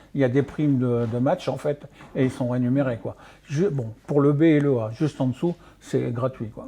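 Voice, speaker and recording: With a dark, mellow tone, a man speaks at a fairly high pitch and with fairly even intonation. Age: 60s. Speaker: martial arts coach. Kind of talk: radio interview. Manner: halting, many fillers.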